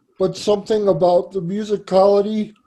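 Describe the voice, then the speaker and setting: In an American accent, a man with a high pitch and a dark, mellow tone speaks at a fairly slow pace with monotone, flat intonation. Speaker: podcaster. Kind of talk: talk to an audience.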